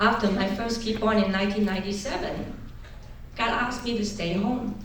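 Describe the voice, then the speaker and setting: Amid noticeable background noise and audible room echo, a woman with a Chinese accent speaks at a fairly high pitch with monotone, flat intonation. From China, rural. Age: 50s. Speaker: political candidate. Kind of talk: political speech.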